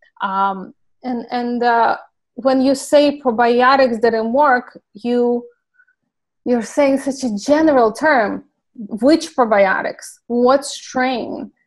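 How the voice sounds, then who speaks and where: In a Ukrainian accent, a woman speaks very slowly in a high pitch with ordinary pitch variation. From Ukraine. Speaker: clinical pharmacist. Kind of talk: interview.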